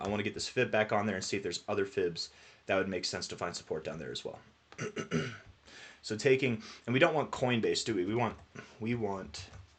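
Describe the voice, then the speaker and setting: A man talks at a very fast pace with an animated tone. His pitch is fairly low. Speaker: crypto chart analyst. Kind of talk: screen-share tutorial. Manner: casual, animated; halting, repeats words.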